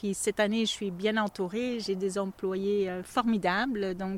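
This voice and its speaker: In a very clean recording with a silent background and a dry, close sound free of echo, a woman speaks at a medium pitch in an ordinary speaking voice. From Belgium (Flanders). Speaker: goat cheese farmer. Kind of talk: interview. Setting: on the farm.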